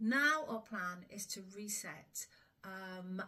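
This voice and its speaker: This is a woman with a medium-pitched voice. Her tone is bright and sharp. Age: 60s. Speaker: smallholder. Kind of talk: casual vlog talk. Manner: hesitant, many fillers.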